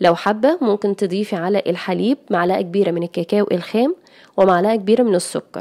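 In an Egyptian accent, a woman speaks at a medium pitch and moderate pace with ordinary pitch variation. The recording is very clean and dry, close with no echo, and the background is silent. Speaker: cooking youtuber. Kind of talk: tutorial.

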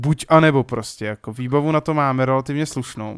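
An ordinary speaking voice from a man at medium pitch, with a moderate pace, fairly even intonation and a dry, close sound with no echo. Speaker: gaming YouTuber. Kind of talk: let's play commentary. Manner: casual, rambling with self-corrections.

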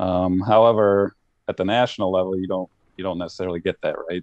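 A man with an American accent and a very deep, low pitch, fairly quick pace, dry sound with no echo, quiet background. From Ohio, Cleveland area. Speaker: cornhole league director. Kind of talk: casual chat. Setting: remote call. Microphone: video call.

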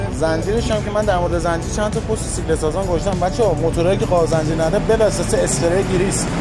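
Loud music plays behind a man talking at a very fast pace. He hardly pauses, and his pitch varies in an ordinary way. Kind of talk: casual repair commentary. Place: workshop. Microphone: phone near.

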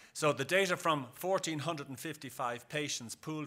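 With a bright, sharp tone, a man talks using ordinary pitch variation. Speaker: conference presenter. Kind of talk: lecture. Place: hall.

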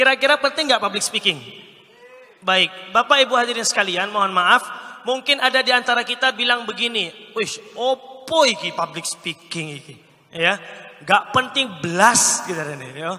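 With an East Javanese accent, a man speaks at a moderate pace in an extremely high, raised and projected voice, animated in tone, with lively intonation and big swings in loudness. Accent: Indonesian with Malang-style Javanese. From Pekanbaru, Riau (Sumatra); Riau, Indonesia. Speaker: Islamic preacher and public speaking coach; Islamic preacher, public speaking coach. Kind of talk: training workshop lecture. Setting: live audience, indoor venue. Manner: animated, interactive with audience. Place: hall. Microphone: handheld.

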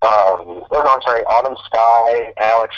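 A medium-pitched man's voice with an American accent. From Chicago area, US Midwest. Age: 20s. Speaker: visual artist. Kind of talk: interview, casual chat. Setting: voice call, audio only. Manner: halting, many fillers.

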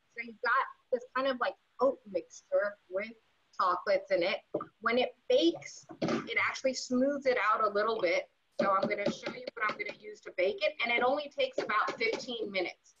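Over noticeable background noise, a woman speaks at a moderate pace with a high pitch, lively intonation and big swings in loudness. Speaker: cooking instructor. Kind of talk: tutorial. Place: kitchen. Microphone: camera far.

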